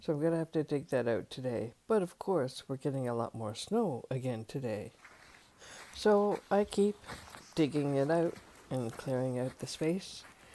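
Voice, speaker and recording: A woman with a Canadian accent, a very deep, low pitch, very wide pitch swings and a moderate pace. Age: 70s. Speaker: senior camper. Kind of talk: casual talk to camera.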